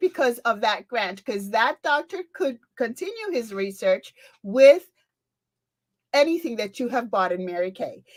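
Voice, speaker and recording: A woman with a Spanish accent speaks at a high pitch in an animated tone, her pitch swinging very widely. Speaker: beauty sales consultant. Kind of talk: event presentation.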